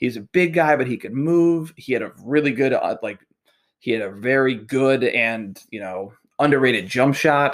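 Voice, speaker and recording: At a moderate pace and medium pitch, a man talks in an unremarkable speaking voice with ordinary pitch variation. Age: 30s. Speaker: sports podcast host. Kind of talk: solo podcast monologue. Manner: casual with frequent fillers.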